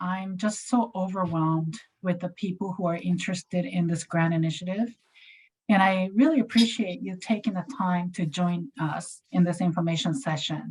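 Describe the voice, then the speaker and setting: Somewhat breathy and at a medium pitch, a woman speaks with a Japanese accent and ordinary pitch variation. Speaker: community health grant staff. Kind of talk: informational presentation. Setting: video call. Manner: halting.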